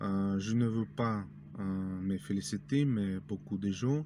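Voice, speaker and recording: A man with a Russian accent, a dark, mellow tone, lively intonation and a very slow pace. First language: Russian (speaking French). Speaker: language learning youtuber. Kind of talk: tutorial. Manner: halting, many hesitations.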